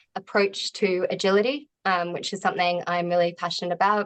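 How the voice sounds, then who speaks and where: Speaking with an Australian accent, a woman uses fairly even intonation. Her pitch sits in the medium range. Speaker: agile coach, event host. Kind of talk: event hosting introduction. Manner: frequent um fillers.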